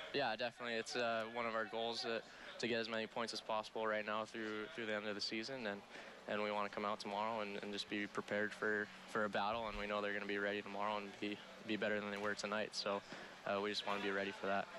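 A man at a very fast pace, fairly low in pitch and flat in a monotone, the sound dry with no echo over noticeable background noise. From California. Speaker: college hockey goalie. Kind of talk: post-game interview. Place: hall. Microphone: headset.

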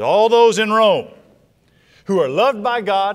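Quiet surroundings and a man at a fairly slow pace. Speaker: preacher. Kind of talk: sermon scripture reading. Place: church. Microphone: lapel.

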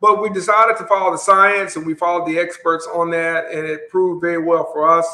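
Very fast delivery with hardly any pauses, fairly even intonation, and an Alabama accent. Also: man, high pitch for a man. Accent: Southern US (Alabama). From US South, Montgomery, Alabama. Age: Generation X. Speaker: mayor. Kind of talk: interview.

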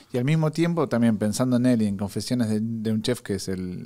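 A man at a fairly quick pace. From Argentina. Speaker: podcast host. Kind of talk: casual chat. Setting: studio. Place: studio. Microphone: studio mic.

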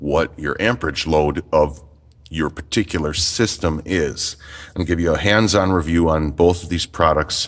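This man has a very deep, low voice. The background is quiet. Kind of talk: product demo tutorial. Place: workshop.

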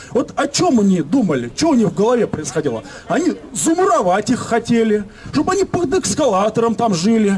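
An animated tone at a fairly quick pace, with very wide pitch swings, very even loudness and light background noise. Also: man, high pitch for a man. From Moscow, Leninsky prospekt; Moscow. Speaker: local resident activist. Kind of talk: public speech at residents' meeting. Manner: animated, indignant. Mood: indignant, complaining. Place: street. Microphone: camera far.

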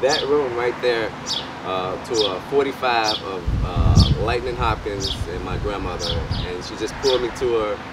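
A man speaks in a dry sound with no echo while loud noise fills the background. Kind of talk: interview answer. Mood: reflective, nostalgic. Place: street.

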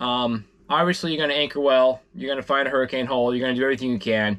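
A man talks at a very fast pace. His tone is fairly bright and his intonation fairly even. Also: medium pitch for a man.

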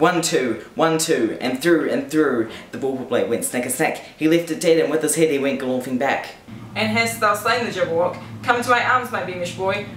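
A man speaks at a moderate pace with very wide pitch swings. The room echo is audible, and there is light background noise. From New Zealand. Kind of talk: poetry reading. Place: home room. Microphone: camera far.

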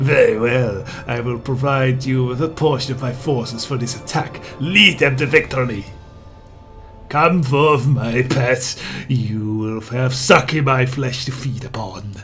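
A man's strained, put-on character voice at medium pitch and a fairly slow pace, with clear music in the background. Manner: commanding, menacing.

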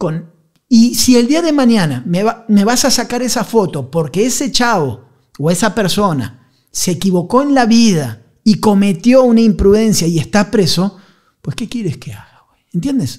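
A man with a high pitch speaks at a fairly slow pace, using very wide pitch swings and big swings in loudness. The background is quiet. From Argentina, Buenos Aires. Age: 40s. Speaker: journalist and war correspondent; journalist, war correspondent. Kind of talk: casual chat. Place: studio. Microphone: studio mic.

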